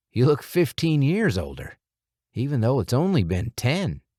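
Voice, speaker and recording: On a very clean recording with a silent background, a man does a put-on character voice at a medium pitch. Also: moderate pace. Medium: read story. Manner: terse.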